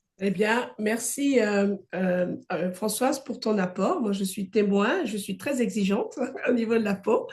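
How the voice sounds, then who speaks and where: A woman's somewhat breathy, fairly high voice at a very slow pace, with audible room echo. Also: ordinary pitch variation. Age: 50s. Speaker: wellness coach and conference host. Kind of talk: online conference.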